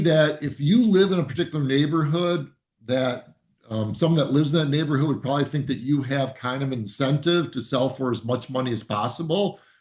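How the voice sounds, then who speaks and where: Speaking with an American accent, a man keeps a fairly quick pace. His pitch is fairly high, with ordinary variation. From US Midwest, Ann Arbor, Michigan. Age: 60s. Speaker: real estate agent. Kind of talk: presentation. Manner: halting.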